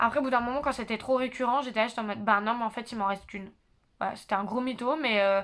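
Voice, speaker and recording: A woman's fairly high voice at a very fast pace, on a very clean recording with a silent background. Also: fairly even intonation. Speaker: YouTuber, psychology student. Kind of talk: casual vlog monologue. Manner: loud; hesitant, many fillers.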